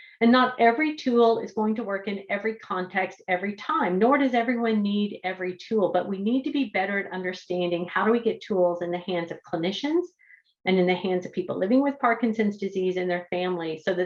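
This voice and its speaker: A woman's plain, everyday voice at medium pitch, fairly quick, with ordinary pitch variation and hardly any pauses. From Canada. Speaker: speech-language pathologist and researcher. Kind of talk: lecture.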